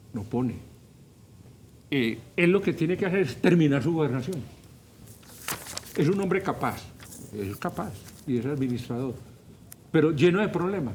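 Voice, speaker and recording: A man with a fairly high pitch and lively intonation speaks with long, frequent pauses amid audible room echo. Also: moderate pace. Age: 70s. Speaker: professor and political commentator. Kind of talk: talk show interview. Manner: animated.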